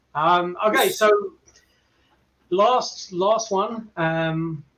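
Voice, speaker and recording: At a very slow pace, a man with an English accent speaks in a high pitch, with a bright, sharp tone and ordinary pitch variation. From England. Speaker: paranormal investigator. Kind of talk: casual chat.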